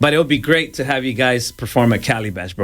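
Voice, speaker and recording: Recorded very cleanly against a silent background, a man has a normal speaking voice and talks at a fairly quick pace with lively intonation. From El Salvador, moved to Los Angeles at 11. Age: 40s. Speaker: radio DJ. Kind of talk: casual interview. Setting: radio studio.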